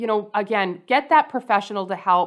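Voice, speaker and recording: With a Canadian accent and an unremarkable speaking voice, the speaker keeps a moderate pace and lively intonation on a very clean recording with a silent background. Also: woman. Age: 40s. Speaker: personal finance educator and author. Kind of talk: interview.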